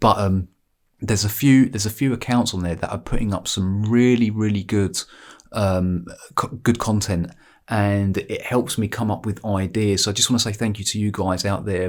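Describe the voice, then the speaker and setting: A man with an English accent talks at a moderate pace in a fairly low voice, on a very clean recording with a silent background. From England. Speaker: sports vlogger. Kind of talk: casual monologue. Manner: halting, repetitive.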